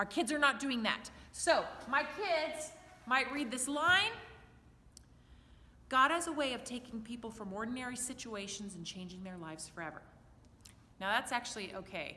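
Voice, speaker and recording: The delivery is animated, with very wide pitch swings and big swings in loudness. It runs at a moderate pace with long, frequent pauses and audible room echo. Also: woman, high pitch for a woman. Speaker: children's choir director. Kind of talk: tutorial. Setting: church.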